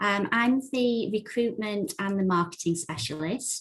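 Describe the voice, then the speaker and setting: A woman with an English accent, somewhat breathy, at a fairly slow pace with ordinary pitch variation, against a quiet background. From England. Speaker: recruitment and marketing specialist. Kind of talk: panel presentation.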